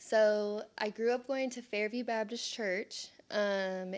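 Very slowly and with fairly even intonation, a woman speaks at a fairly high pitch with a Texas accent, in a very clean recording with a silent background. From Texas, Sherman. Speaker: speech therapy worker. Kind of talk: testimony. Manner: casual, filler-heavy.

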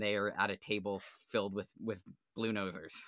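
Fairly low in pitch, a man speaks at a fairly quick pace in a bright, sharp tone that sounds enthusiastic. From Nova Scotia, Canada (New Ross, South Shore). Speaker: podcast host. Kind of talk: casual interview chat. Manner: enthusiastic, frequent fillers.

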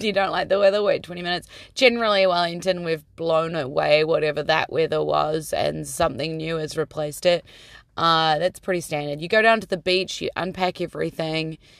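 An animated woman's voice, fairly low for a woman, with ordinary pitch variation and a fairly quick pace. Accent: New Zealand. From New Zealand. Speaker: podcast host and singer. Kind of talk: casual podcast monologue. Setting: in a car.

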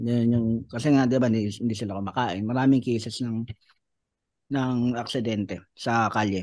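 A man talks at a medium pitch. His is an ordinary speaking voice. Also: fairly even intonation, moderate pace. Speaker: stand-up comedian. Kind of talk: casual chat.

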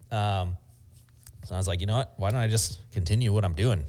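In a very clean recording with a silent background, a man speaks in a very deep, low, somewhat breathy voice with ordinary pitch variation. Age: 30s. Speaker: screen print shop owner and YouTuber. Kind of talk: casual interview chat.

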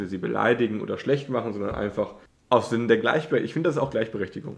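The pitch varies in an ordinary way. It is a normal speaking voice. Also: man. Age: 20s. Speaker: podcast co-host, university student. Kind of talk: casual chat.

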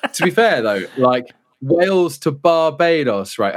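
Recorded very cleanly against a silent background, a man with a British accent speaks with ordinary pitch variation. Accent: British, contrasts with Brummie. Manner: casual, jokey.

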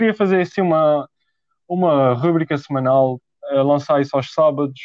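This man's voice is pitched fairly high. It shows ordinary variation in pitch. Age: young. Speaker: podcast host. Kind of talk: casual chat. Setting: home recording at desk.

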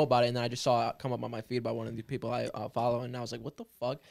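The speaker is a man with a medium pitch. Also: very clean recording, silent background. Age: 20s. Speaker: rapper. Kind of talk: casual chat.

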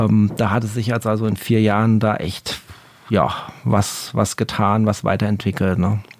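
Monotone and flat in intonation, a man speaks at a fairly low pitch. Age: 40s. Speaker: music podcaster and vinyl collector. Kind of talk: casual interview chat. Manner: hesitant, many filler sounds.

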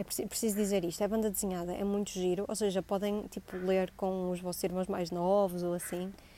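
A woman's dark, mellow voice at medium pitch in a northern Portuguese accent, monotone and flat, at a fairly quick pace with hardly any pauses. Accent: Gaia accent, noticeable today. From northern Portugal, Gaia. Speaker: podcast host. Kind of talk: casual solo monologue. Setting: outdoors in building garden. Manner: scattered, hesitant.

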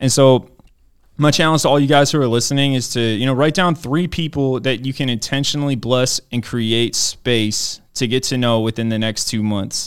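A man with an American accent in an ordinary speaking voice, medium in pitch with ordinary pitch variation, at a moderate pace, in a very clean recording with a silent background. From Maryland, US. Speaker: pastor. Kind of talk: testimony.

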